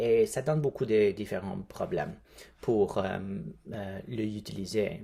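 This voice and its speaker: A man with a non-native accent speaks in a dark, mellow tone at a fairly low pitch, with ordinary pitch variation. His pace is very slow, broken by long, frequent pauses. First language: English (speaking French). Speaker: linguistic anthropologist. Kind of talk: recruitment appeal. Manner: halting.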